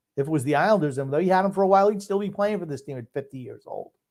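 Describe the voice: A man speaks at a very fast pace with lively intonation and a fairly high pitch. His tone is slightly mellow.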